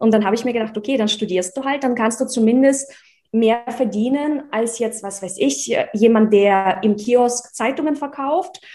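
At a moderate pace, a woman speaks in a fairly high pitch with a dark, mellow tone and ordinary pitch variation. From Russia (village), born in Czechoslovakia. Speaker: investment educator and entrepreneur. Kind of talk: interview.

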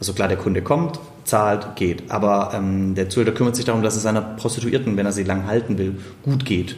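A man talks fairly quickly in a fairly low voice with a slight Swabian accent. Noticeable background noise and audible room echo are present. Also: ordinary pitch variation. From Swabia, Stuttgart (southwest Germany). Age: 30s. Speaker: keynote speaker. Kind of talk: casual interview. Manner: sing-song lilt.

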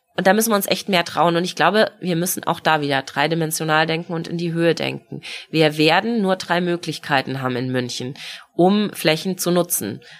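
In a normal speaking voice, a woman talks at a fairly quick pace with a fairly low pitch and ordinary pitch variation. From Munich, Bavaria. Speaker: mayoral candidate, politician. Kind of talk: casual interview.

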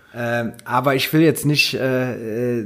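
A man speaks at a medium pitch. His is an unremarkable speaking voice with ordinary pitch variation. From Rhineland, Hennef. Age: 40s. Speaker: carnival club vice-chairman. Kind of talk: casual chat.

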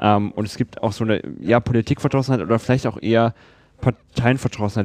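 The sound is dry and close, with no echo. A man talks at a very fast pace and a medium pitch, with ordinary pitch variation. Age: young. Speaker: student podcast host. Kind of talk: casual interview. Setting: at guest's place.

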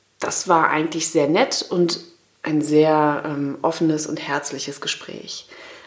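A woman speaks at a very deep, low pitch with monotone, flat intonation. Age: 30s. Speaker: podcast co-host, corporate employee. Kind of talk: casual chat.

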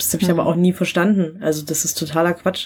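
A woman's fairly low voice at a very fast pace, in a monotone, flat intonation. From rural Germany. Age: 20s. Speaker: skateboarder. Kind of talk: casual interview.

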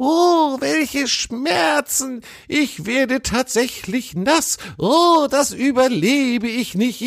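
A man's put-on character voice at an extremely high pitch and a very slow pace. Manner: mock pain, theatrical.

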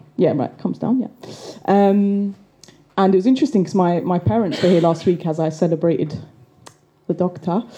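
A woman speaks at a moderate pace with a dark, mellow tone and fairly low pitch. Her pitch varies in an ordinary way, with long, frequent pauses. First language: English (speaking German). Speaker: activist and storyteller. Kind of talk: storytelling performance.

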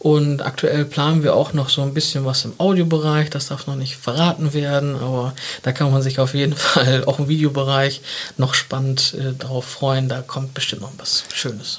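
Noticeable background noise sits under a man talking at a moderate pace. His fairly high voice has monotone, flat intonation. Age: 30s. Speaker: marketing agency partner. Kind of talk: casual interview. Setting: studio.

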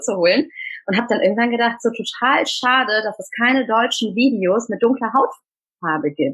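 A woman with a normal speaking voice at a moderate pace, fairly high in pitch, with ordinary pitch variation. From Germany, Tamil family from Sri Lanka. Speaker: speaker and trainer on cultural identity. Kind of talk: interview.

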